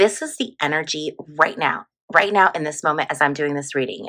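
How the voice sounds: Using a put-on character voice, a woman speaks at a fairly quick pace, raspy and very deep and low in pitch.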